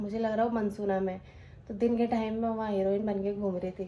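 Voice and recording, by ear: At a fairly quick pace, a woman talks at medium pitch with a dark, mellow tone and little pitch movement.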